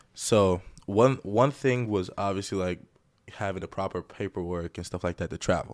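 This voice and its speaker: A man with an American accent, fairly low pitch, ordinary pitch variation and a moderate pace, on a very clean recording with a silent background. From Greece. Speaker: professional basketball player. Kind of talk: casual chat.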